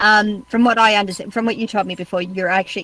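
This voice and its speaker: There is noticeable background noise as a woman talks with an Australian accent. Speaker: podcast host. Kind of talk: interview.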